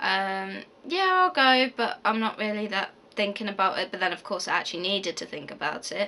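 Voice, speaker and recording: Speaking fairly quickly with hardly any pauses, the voice has a West Midlands accent and ordinary pitch variation. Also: woman, medium pitch for a woman. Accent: Coventry English. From English Midlands, Coventry area. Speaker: university student vlogger. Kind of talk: casual Q&A vlog. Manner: fast; hesitant, many fillers.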